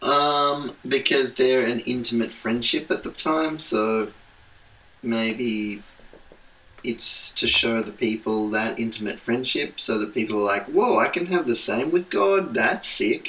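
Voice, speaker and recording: A man of medium pitch at a fairly slow pace, with ordinary pitch variation and noticeable background noise. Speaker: podcast co-host, pastor's kid. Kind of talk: casual chat.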